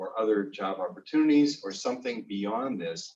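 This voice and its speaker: Using a normal speaking voice, a man speaks at a moderate pace and medium pitch with ordinary pitch variation. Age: 60s. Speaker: career coach. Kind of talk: seminar talk. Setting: seminar with small audience.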